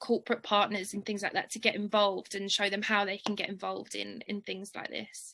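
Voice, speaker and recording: A woman's bright, sharp voice at a medium pitch, monotone and flat, with an English accent, over a quiet background. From London. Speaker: charity worker and bursary alumna. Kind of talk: interview, personal story. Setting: webinar video call.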